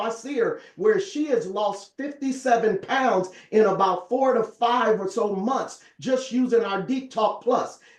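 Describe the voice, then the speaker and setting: Over noticeable background noise, a man talks at a moderate pace in an extremely high pitch with ordinary pitch variation. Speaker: network marketing presenter. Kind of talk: sales pitch. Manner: animated.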